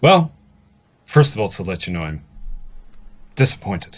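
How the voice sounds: This is a put-on character voice with big pitch swings. It moves at a fairly slow pace. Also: man, low pitch for a man.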